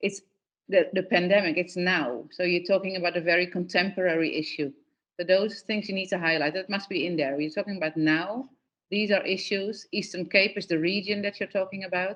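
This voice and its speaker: The woman talks at a fairly quick pace and a medium pitch, with fairly even intonation. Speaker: workshop facilitator. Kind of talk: workshop feedback.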